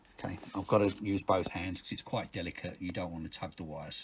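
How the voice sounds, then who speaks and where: Somewhat breathy and fairly low in pitch, a man speaks at a moderate pace with ordinary pitch variation. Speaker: car mechanic video maker. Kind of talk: tutorial.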